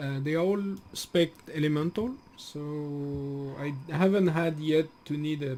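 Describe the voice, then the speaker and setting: With a French accent, a man speaks at a fairly high pitch with ordinary pitch variation. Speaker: gaming streamer. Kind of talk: live stream gameplay commentary. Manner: casual, halting with fillers.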